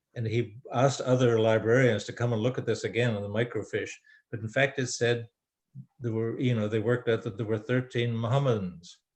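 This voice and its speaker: Somewhat breathy and medium in pitch, a man talks at a fairly quick pace with fairly even intonation. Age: 80s+. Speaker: author. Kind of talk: interview Q&A. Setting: video call. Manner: halting.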